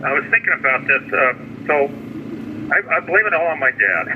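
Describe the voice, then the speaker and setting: A man speaks over noticeable background noise. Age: 60s. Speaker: Army veteran, retired computer engineer. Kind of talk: interview answer. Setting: phone line. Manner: rambling, hesitant.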